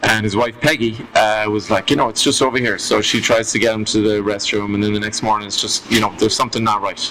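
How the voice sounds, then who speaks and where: Over noticeable background noise, a man with an Irish accent talks at a very fast pace in a fairly low, monotone, flat voice. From Ireland. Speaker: storyteller guest. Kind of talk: casual chat.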